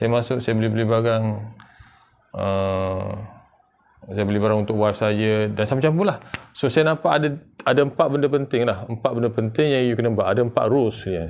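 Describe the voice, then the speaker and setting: Speaking at a fairly quick pace with long, frequent pauses, a man uses a medium pitch. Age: 40s. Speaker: online business vlogger. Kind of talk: sales pitch. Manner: casual. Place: home room.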